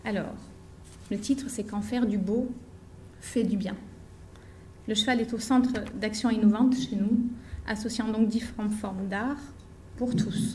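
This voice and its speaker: A woman with a fairly high pitch speaks in a monotone, flat way, her tone dark, mellow and somewhat breathy. She talks at a fairly slow pace with long, frequent pauses, and the room echo is audible. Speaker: equine therapist and association founder. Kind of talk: conference talk.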